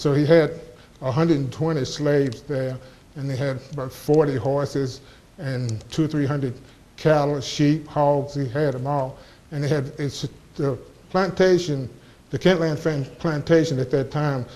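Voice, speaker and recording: Speaking with an American accent, a man has a fairly high pitch and a dark, mellow tone with fairly even intonation. His pace is moderate, and there is audible room echo. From US South, southwest Virginia (Montgomery County). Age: 70s. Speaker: local historian speaker. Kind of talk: lecture. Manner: halting, frequent restarts.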